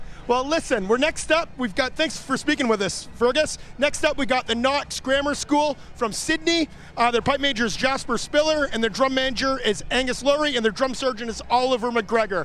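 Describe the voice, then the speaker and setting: A man's extremely high-pitched voice, bright and sharp in tone and animated, at a moderate pace with ordinary pitch variation. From Canada (Ontario). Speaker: event commentator and interviewer. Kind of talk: live commentary with on-the-spot interviews. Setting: outdoors at a pipe band competition. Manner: casual, animated.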